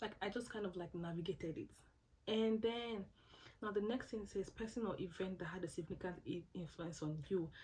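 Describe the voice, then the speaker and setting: Somewhat breathy, a woman speaks at a medium pitch and a fairly quick pace. Her pitch variation is ordinary. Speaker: scholarship applicant sharing advice. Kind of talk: casual tutorial vlog. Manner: fast.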